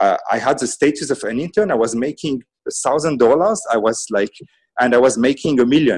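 With an unremarkable speaking voice, a man talks fairly quickly at a fairly high pitch and with lively intonation. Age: 30s. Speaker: management consultant and MBA teacher. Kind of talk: interview.

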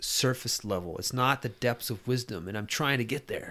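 A plain, everyday voice: a man at medium pitch with ordinary pitch variation, on a very clean recording with a silent background. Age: 40s. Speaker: podcast guest, friend of host. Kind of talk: casual chat.

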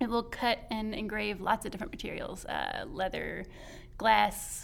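A woman in a Southern US accent at a fairly slow pace. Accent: country Southern, noticeable. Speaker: librarian and programs coordinator. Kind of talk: casual interview chat.

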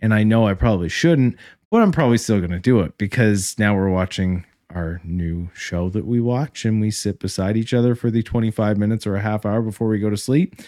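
At a fairly quick pace, a man speaks with a dark, mellow tone and ordinary pitch variation, recorded dry and close with no echo. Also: fairly low pitch for a man. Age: 30s. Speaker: credit union branch manager. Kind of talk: casual chat.

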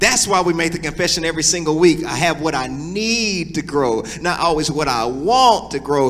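An animated man at a fairly quick pace, very wide pitch swings, noticeable background noise and audible room echo. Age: 40s. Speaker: pastor. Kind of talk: sermon.

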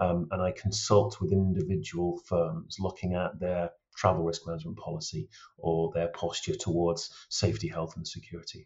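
A man's very deep, low voice with vocal fry, moderate pace and ordinary pitch variation. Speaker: travel risk consultant. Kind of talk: interview.

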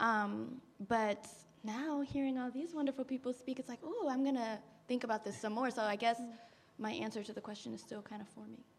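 Against noticeable background noise, a woman with an American accent speaks at a fairly quick pace and fairly high pitch, her intonation fairly even and her loudness swinging widely. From Prince George's County, Maryland. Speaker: church member panelist. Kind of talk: panel discussion. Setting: church service.

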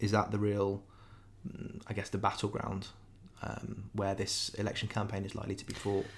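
This is a man speaking. He has a southern English accent. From southern England (Wokingham). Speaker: podcast host. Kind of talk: political discussion podcast. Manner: hesitant, many fillers.

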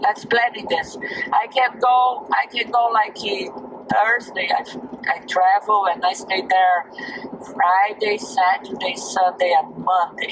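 Speaking at a very slow pace over noticeable background noise, a woman uses a medium pitch and ordinary pitch variation. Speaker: host's mother. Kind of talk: casual chat. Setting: video call.

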